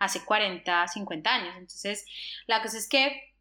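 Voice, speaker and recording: A woman's medium-pitched, bright and sharp voice at a very slow pace, on a very clean recording with a silent background. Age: 40s. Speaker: travel podcast co-host. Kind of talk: casual chat.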